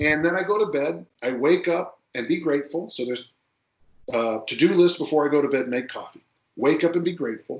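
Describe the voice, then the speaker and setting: A man's normal speaking voice, fairly high in pitch, at a fairly quick pace with ordinary pitch variation. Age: 60s. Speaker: strength coach. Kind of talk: podcast interview.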